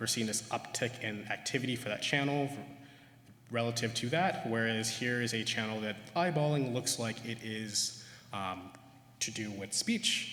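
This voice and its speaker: Room echo can be heard around this male voice. His pitch rises and falls in an ordinary way. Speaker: neuroscientist. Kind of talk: conference talk. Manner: fast; hesitant with many fillers.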